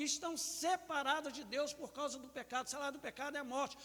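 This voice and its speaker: A man speaks in a raised, projected voice. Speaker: pastor. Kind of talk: sermon. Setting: church.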